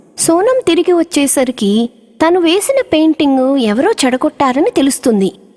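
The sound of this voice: Big pitch swings and a slightly mellow tone in a dry, close sound with no echo. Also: woman, high pitch for a woman, moderate pace.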